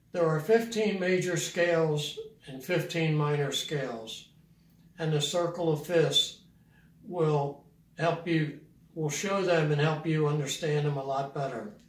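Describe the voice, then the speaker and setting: A man's fairly slow speech, with ordinary pitch variation, carries audible room echo. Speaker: piano teacher. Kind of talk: tutorial. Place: home room.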